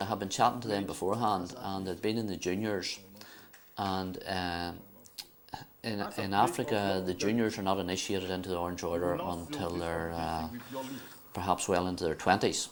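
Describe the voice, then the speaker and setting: Speaking at a moderate pace, a man has a very deep, low voice. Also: fairly even intonation. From Northern Ireland, County Down. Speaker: Orange Order member visiting Africa. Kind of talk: interview. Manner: halting, hesitant.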